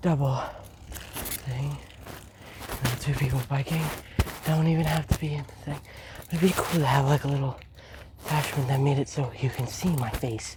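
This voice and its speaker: Soft-spoken at a moderate pace, the voice comes through noticeable background noise. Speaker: vlogger. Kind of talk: casual vlog monologue while cycling. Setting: outdoors on a bike.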